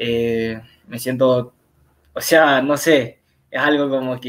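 A man with a medium-pitched voice talks against a quiet background. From Huaquillas, Ecuador; Ecuador. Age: young. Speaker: footballer; guest. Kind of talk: interview. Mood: calm, pleased.

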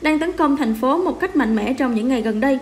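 A woman with a high voice talks at a fairly quick pace.

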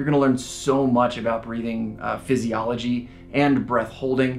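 This man talks at a fairly quick clip with flat, monotone intonation. Faint music plays behind him. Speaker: breathwork instructor. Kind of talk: casual explanatory vlog. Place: home room.

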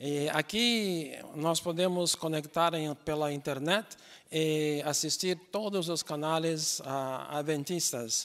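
A man speaks at a very slow pace in a fairly high pitch with ordinary pitch variation. The background is quiet. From Brazil. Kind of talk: interview. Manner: halting with many fillers. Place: stage. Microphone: handheld.

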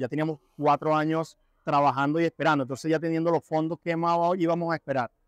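An unremarkable speaking voice moves at a fairly quick pace with fairly even intonation, in a dry sound with no echo and a quiet background. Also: man. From Venezuela. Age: 30s. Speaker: construction carpenter, immigrant. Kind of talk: interview answers. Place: hall. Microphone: lapel.

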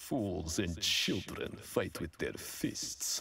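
A man puts on a character voice in a Russian accent. His pitch is very deep and low, and his voice is raspy. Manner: menacing, lecturing.

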